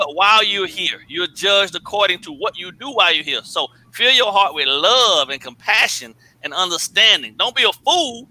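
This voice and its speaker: Projecting a raised voice, a man speaks at a moderate pace with a high pitch and lively intonation, the sound dry and close with no echo. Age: 40s. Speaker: sports channel panelist. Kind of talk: panel discussion.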